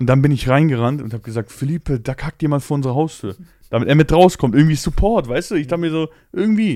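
Recorded very cleanly against a silent background, with a dry, close sound and no echo, a man with a fairly high pitch and a dark, mellow tone speaks very fast with lively intonation. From Poland. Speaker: podcast host. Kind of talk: casual chat.

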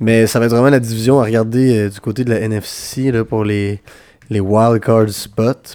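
The man's tone is dark and mellow, his pitch medium and his pace moderate. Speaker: football podcast co-host. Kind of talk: casual chat.

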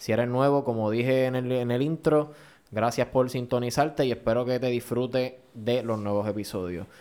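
There is noticeable background noise as a man speaks at medium pitch with fairly even intonation. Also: moderate pace. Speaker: podcast host. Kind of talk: casual chat.

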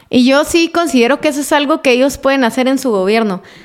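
This woman speaks at a moderate pace. Her pitch is high, with ordinary variation. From Quetzaltenango, Guatemala. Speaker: journalist and communicator. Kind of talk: interview.

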